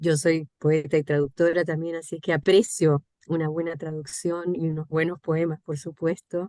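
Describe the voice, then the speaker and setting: With a dry, close sound and no echo, a woman with a fairly low pitch and dark, mellow tone speaks in monotone, flat intonation. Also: moderate pace. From Cuba. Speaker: poet and translator. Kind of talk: audience comment at virtual book launch.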